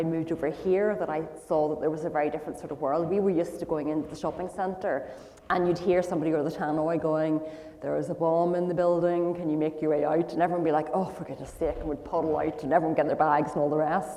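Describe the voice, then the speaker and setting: With a Northern Irish accent, a woman speaks very fast at a fairly low pitch, her intonation monotone and flat. Audible room echo and noticeable background noise fill the recording. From Northern Ireland, Belfast. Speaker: guest speaker sharing life story. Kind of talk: testimony interview.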